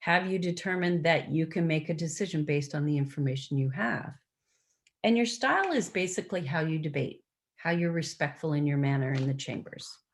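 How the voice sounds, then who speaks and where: Somewhat breathy speech at a fairly quick pace, with ordinary pitch variation, a Canadian accent and audible room echo. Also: woman, very deep, low pitch for a woman. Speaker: procedure trainer, former municipal clerk. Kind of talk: training presentation. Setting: video conference.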